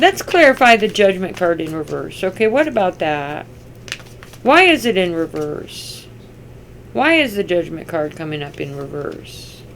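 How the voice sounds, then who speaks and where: At a medium pitch, a woman speaks at a moderate pace with very wide pitch swings. Background noise is noticeable. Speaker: tarot reader. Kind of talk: tarot reading.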